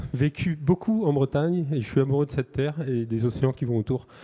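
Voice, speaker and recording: Moderate pace and a dark, mellow tone in a northern French accent, with a dry, close sound with no echo. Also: man. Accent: northern French (ch'ti). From northern France (Nord). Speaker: company founder. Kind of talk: acceptance speech. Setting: stage with audience.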